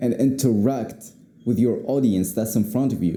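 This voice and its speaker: Over music in the background, a man with a non-native accent talks at a moderate pace and medium pitch. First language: not English. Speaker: YouTuber, speaking coach. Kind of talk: unscripted talk to camera. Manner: casual, repetitive, filler-heavy.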